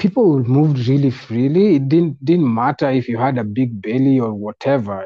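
A man speaks with a dark, mellow tone and ordinary pitch variation. The sound is dry and close, with no echo.

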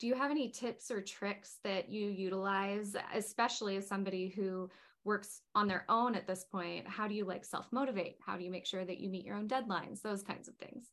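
Using a plain, everyday voice, a woman talks at a fairly quick pace in a medium pitch with fairly even intonation. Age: 30s. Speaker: interviewer, organization president. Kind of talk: interview.

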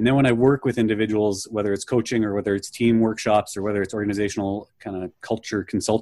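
Very fast and monotone, with flat intonation, a man speaks in a fairly low pitch with a Canadian Prairies accent. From Canada, near Winnipeg. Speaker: leadership coach. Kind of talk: interview. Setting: video call.

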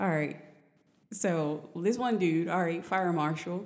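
A woman speaks in an unremarkable speaking voice at a fairly low pitch. Her pace is fairly slow, with ordinary pitch variation. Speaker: podcast guest. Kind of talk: casual chat.

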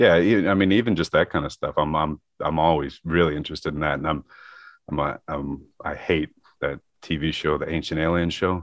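A man with a Midwestern American accent talks at a fairly quick pace in a very deep, low voice, his intonation fairly even. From US Midwest (Michigan). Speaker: metal sculptor. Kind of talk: casual interview chat.

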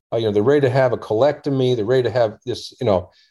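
A man with an American accent speaks at a medium pitch in a dark, mellow tone. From US, Washington D.C. area. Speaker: surgeon and health tech founder. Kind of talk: interview.

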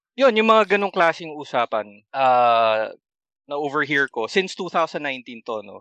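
A man speaks at a fairly slow pace and fairly high pitch, with very wide pitch swings and big swings in loudness. His tone is bright and sharp, and the sound is dry and close with no echo against a quiet background. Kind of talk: casual chat.

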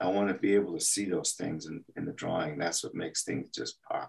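A man uses a normal speaking voice with an American accent, fairly low in pitch. His pace is moderate, with ordinary pitch variation. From El Paso, Texas. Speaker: animation artist. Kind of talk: interview.

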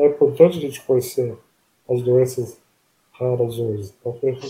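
This man has a medium pitch and a dark, mellow tone. His voice is somewhat breathy. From interior of São Paulo state (Palmital). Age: 40s. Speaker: person with ALS. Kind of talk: interview. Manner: halting.

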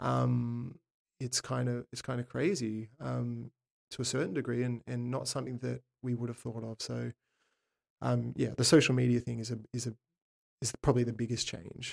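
The sound is dry and close with no echo as a man speaks with an Australian accent. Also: moderate pace. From Sydney, Australia. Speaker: touring session drummer. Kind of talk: casual interview chat. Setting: in-person in a drum shop.

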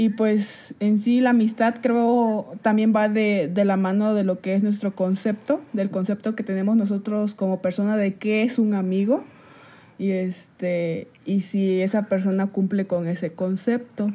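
A woman's dark, mellow tone, somewhat breathy, unfolds at a fairly slow pace with fairly even intonation. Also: medium pitch for a woman. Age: 20s. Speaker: podcast co-host. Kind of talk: casual chat.

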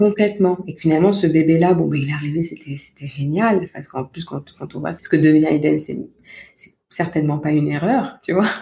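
A soft-spoken woman talks at a fairly quick pace in a very deep, low pitch with a dark, mellow tone that is somewhat breathy. Her pitch varies in an ordinary way while her loudness swings widely. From Paris region, France. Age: 30s. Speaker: parenting coach. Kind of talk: interview.

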